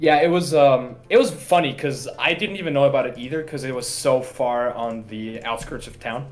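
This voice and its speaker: With hardly any pauses, a man speaks at a moderate pace in a medium pitch with ordinary pitch variation. His loudness swings widely, and there is noticeable background noise along with audible room echo. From Austria (Vienna). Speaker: card game player. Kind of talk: casual chat.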